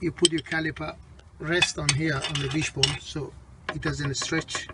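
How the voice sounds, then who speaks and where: The voice is monotone and flat at a moderate pace, dry with no echo, with noticeable background noise. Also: man. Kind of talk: tutorial. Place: street. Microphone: phone near.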